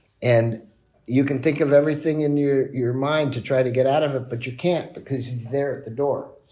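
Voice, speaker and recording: With audible room echo, a man at a medium pitch and with a dark, mellow tone speaks at a moderate pace with fairly even intonation. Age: 60s. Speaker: business executive. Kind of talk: podcast interview. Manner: conversational, with fillers and repetitions.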